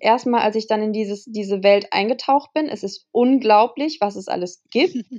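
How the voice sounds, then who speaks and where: A woman's fairly high voice, dark and mellow in tone, with ordinary pitch variation. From Germany, Kassel. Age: 20s. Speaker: model and influencer. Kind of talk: casual interview. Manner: hesitant, many fillers.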